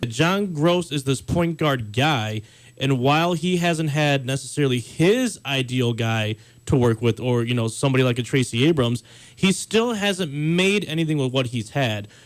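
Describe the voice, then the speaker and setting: This man has an unremarkable speaking voice, a fairly high pitch and lively intonation, moving at a moderate pace. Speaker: sports radio talk show host. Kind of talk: casual sports talk show banter. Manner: conversational, opinionated.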